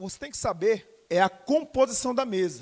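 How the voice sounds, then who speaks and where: A man speaks with very wide pitch swings. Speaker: teacher for civil service exam. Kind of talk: lecture. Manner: loud.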